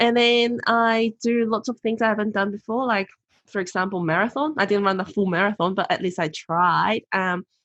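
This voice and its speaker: Talking at a fairly quick pace with a non-native accent, a woman uses a medium-pitched voice and ordinary pitch variation. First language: not English. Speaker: motivational speaker and author. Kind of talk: podcast interview.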